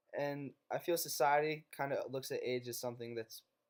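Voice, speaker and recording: With an American accent, a man speaks at a moderate pace and fairly even intonation. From northeastern Pennsylvania, US. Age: 20s. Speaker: college student. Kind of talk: class presentation narration.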